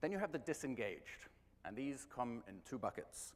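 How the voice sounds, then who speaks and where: Fairly quick speech from a man with an English accent. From England. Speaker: marketing executive. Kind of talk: conference talk.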